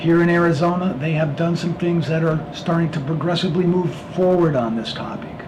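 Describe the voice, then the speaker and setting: A man with an American accent and fairly high pitch, amid noticeable background noise and audible room echo. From Pennsylvania, US. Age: 60s. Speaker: mentor talking about dyslexia. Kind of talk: personal monologue. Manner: halting, with fillers.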